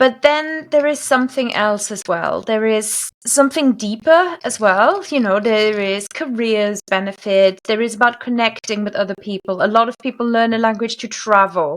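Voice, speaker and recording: Speaking in a German accent at a fairly slow pace, a woman uses lively intonation and a fairly high pitch. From Germany. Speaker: language coach. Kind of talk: interview.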